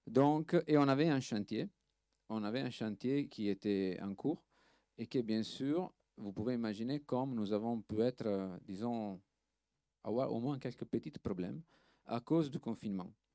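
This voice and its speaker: A man with an Italian accent, medium pitch for a man and a dark, mellow tone, at a fairly slow pace with long, frequent pauses, in a very clean recording with a silent background and a dry, close sound with no echo. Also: ordinary pitch variation. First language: Italian (speaking French). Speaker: film restoration lab director. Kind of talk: panel talk. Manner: halting, many hesitations and repeats.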